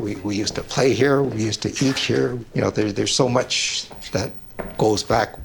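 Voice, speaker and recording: Noticeable background noise runs under a man's voice. He talks at a moderate pace with ordinary pitch variation. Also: medium pitch for a man. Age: 60s. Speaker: family business owner. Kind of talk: documentary interview. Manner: halting.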